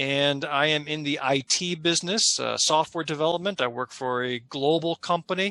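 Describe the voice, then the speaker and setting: A man speaks at a moderate pace with hardly any pauses, his voice fairly high in pitch, bright and sharp, with ordinary pitch variation. He has an upstate New York accent, and the sound is dry and close with no echo. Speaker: local party chair, roundtable moderator. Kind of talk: panel discussion.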